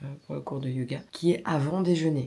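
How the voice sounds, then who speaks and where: Her voice sits very deep and low for a woman. The woman talks at a moderate pace. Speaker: beauty vlogger. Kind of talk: vlog. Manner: hesitant, many fillers.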